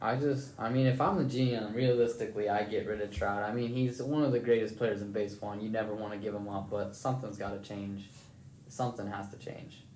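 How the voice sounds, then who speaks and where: A fairly low-pitched man with an American accent, fairly quick and fairly even in intonation, with audible room echo. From northern West Virginia. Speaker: college baseball player, podcast host. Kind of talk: casual chat.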